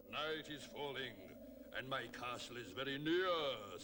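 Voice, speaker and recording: A man's put-on character voice at medium pitch, fairly slow, over clear background noise. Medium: read story.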